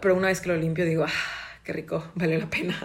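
A woman talks in a normal speaking voice at a fairly quick pace. Her pitch sits in the medium range. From Mexico, Cancún. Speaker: podcaster and university student. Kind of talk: casual solo chat.

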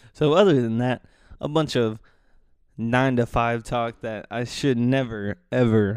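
A man of medium pitch speaks with fairly even intonation on a very clean recording with a silent background. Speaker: solo podcast host. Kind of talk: casual monologue. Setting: living room at home. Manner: soft-spoken; hesitant, many fillers.

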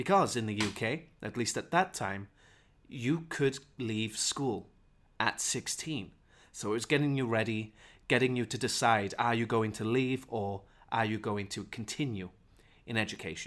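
A man speaks with a Welsh accent at a medium pitch and a fairly slow pace, with ordinary pitch variation. The recording is very clean, with a silent background. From Wales. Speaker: English teacher. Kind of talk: unscripted podcast monologue. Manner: clear, teacherly.

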